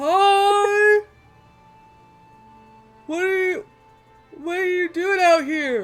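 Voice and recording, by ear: A loud, put-on character voice moves at a very slow pace. Faint music plays in the background.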